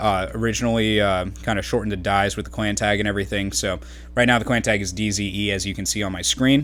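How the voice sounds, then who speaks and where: Vocal fry and lively intonation come through at a very fast pace, with audible room echo. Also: man, fairly low pitch for a man. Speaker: gaming YouTuber and clan organizer. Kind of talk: gameplay commentary. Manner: halting, many fillers and stutters.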